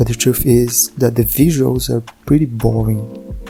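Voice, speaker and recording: The speaker has a non-native accent and a moderate pace. Music plays in the background. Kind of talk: video essay commentary. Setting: low-quality home recording.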